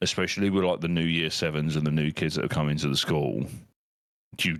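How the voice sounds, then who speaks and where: With an English accent and vocal fry, a man talks at a very fast pace in a very deep, low pitch. His intonation is fairly even and his loudness very even. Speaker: podcast host and teacher. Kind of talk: casual chat.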